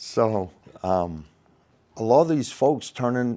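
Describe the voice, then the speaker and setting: Very slowly, a man speaks in a dark, mellow tone at a medium pitch, with lively intonation. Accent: Maine. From Maine, US. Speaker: crane and rigging instructor, former ironworker. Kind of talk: podcast interview. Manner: animated.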